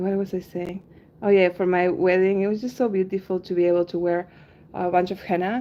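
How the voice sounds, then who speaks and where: Speaking fairly quickly, a woman with a Spanish accent uses a medium pitch and a relaxed tone, her intonation monotone and flat. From Argentina. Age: 30s. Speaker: henna artist and livestreamer. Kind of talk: casual livestream chat. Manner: relaxed, many filler ums.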